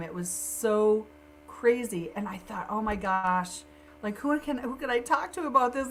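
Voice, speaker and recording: Speaking with an American accent, a woman has a fairly high pitch, lively intonation and an animated tone, over noticeable background noise. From US Midwest, Sioux Falls, South Dakota. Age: 60s. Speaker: networker and digital marketer. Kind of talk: casual interview chat.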